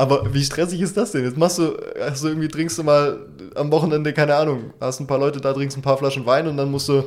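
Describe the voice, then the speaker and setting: Very fast in pace, a man talks at a fairly high pitch with fairly even intonation. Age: 20s. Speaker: podcast co-host. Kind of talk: casual chat.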